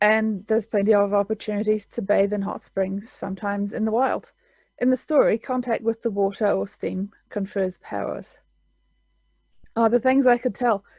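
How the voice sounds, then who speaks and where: Fairly high in pitch, a woman with a New Zealand accent talks at a moderate pace with fairly even intonation. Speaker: author. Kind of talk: casual talk to camera; reading aloud.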